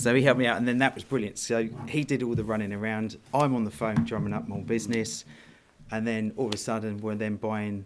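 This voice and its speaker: Speaking at a fairly quick pace, a man with a southern English accent has a medium pitch. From southern England (Worthing, West Sussex). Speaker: business owner and football parent. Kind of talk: casual interview.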